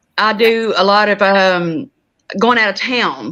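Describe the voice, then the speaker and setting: In an Oklahoma accent, a woman speaks at a medium pitch with a bright, sharp tone. Her pitch varies in an ordinary way. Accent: country Oklahoma. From southeast Oklahoma, McCurtain County. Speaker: reseller. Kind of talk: casual chat.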